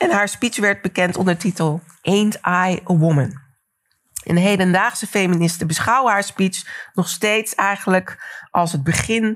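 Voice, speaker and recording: A woman speaks at a fairly slow pace in a plain, everyday voice, with medium pitch and ordinary pitch variation. Her loudness stays very even, and the recording is very clean with a silent background. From Netherlands, Delft. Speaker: cultural historian. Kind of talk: lecture.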